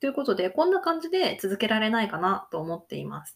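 On a very clean recording with a silent background, a woman at medium pitch makes very wide pitch swings. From Hokkaido, Japan. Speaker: Japanese language teacher, podcaster. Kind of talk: casual monologue for Japanese learners. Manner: casual, frequent fillers.

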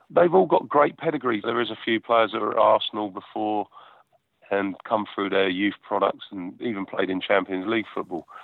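A man with a southern English accent speaks at a moderate pace. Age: 40s. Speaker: football goalkeeper. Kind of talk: interview.

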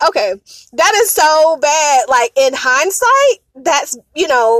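A woman speaks with an American accent, her pitch swinging very widely. The sound is dry and close, with no echo. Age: 40s. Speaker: podcast host. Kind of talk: casual storytelling monologue. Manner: animated.

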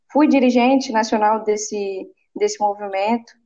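A woman speaks at a moderate pace in a fairly high pitch. It is a plain, everyday voice. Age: 20s. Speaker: city council candidate. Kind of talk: interview.

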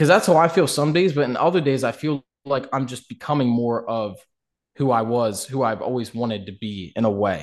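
Lively intonation carries a plain, everyday voice against a quiet background. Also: man, medium pitch for a man, moderate pace. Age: 20s. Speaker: rap songwriter and gamer. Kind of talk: casual chat.

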